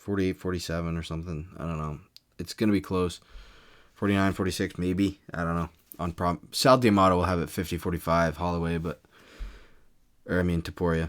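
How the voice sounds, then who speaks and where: This man has a very deep, low voice and fairly even intonation, speaking at a fairly quick pace with long, frequent pauses. The recording is very clean, with a silent background. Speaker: YouTuber, MMA commentator. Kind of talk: casual video commentary and prediction. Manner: monotonous; hesitant, many fillers and restarts.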